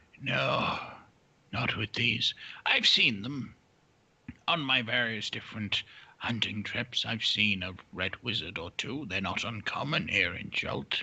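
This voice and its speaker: Whispering, a man puts on a character voice. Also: fairly slow pace. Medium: actual play. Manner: measured, dignified.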